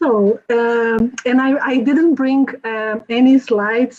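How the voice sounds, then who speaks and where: A fairly high-pitched woman's voice with ordinary pitch variation. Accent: Portuguese. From Brazil. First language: Portuguese. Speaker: journalist and author. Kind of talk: symposium presentation. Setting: video call.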